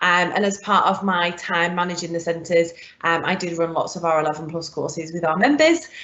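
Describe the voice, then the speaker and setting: A woman with a northern English accent, fairly low-pitched, fairly quick, fairly even in intonation, with noticeable background noise. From northern England. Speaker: curriculum development manager. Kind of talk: live webinar presentation. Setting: online live event.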